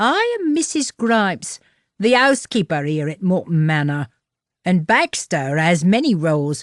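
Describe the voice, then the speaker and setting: A female-sounding voice does a put-on character at a medium pitch. The background is quiet. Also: moderate pace. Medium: read story. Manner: stern, prim.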